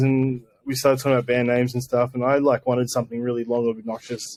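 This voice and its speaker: Medium-pitched, a man speaks with an Australian accent. His pace is very fast. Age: 30s. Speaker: post-rock guitarist. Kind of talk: casual interview chat. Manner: mumbling; hesitant, many fillers.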